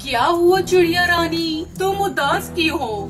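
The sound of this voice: In a cartoonish character voice, a female-sounding voice speaks at an extremely high pitch and a fairly slow pace, with clear music in the background.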